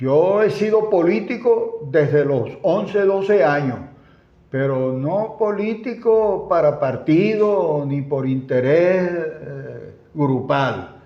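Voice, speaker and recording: Very slowly, a man talks at a high pitch with lively intonation. There is audible room echo. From Venezuela, Zulia (Maracaibo). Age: 80s+. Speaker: former politician and engineer. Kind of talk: interview.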